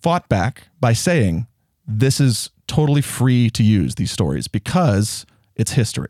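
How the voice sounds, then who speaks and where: A man's medium-pitched, very slow speech with long, frequent pauses, very wide pitch swings and very even loudness, in a very clean, dry, close recording with a silent background and no echo. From US South. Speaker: actor. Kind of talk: casual chat.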